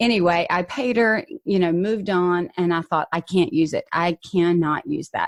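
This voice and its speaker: Speech flows with hardly any pauses in a Southern US accent. Pitch variation is ordinary, and the sound is dry and close with no echo. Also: woman, fairly low pitch for a woman. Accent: Southern drawl. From US South. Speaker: podcast host. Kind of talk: casual chat. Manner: clear enunciation; loud.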